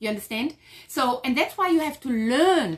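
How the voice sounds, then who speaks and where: A woman speaks in a German accent at a high pitch. Her intonation is lively. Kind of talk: casual chat.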